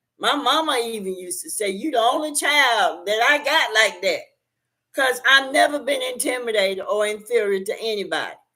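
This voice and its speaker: Bright and sharp in tone, a woman with a high pitch speaks at a moderate pace in an animated way with lively intonation. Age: 60s. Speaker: YouTube talk show host. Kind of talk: casual livestream chat.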